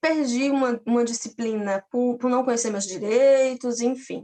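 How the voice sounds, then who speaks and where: A woman's high-pitched voice at a moderate pace, dry and close with no echo. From Paraíba, Brazil (Campina Grande). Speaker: physics teacher and doctoral student. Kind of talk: personal testimony in an online academic talk.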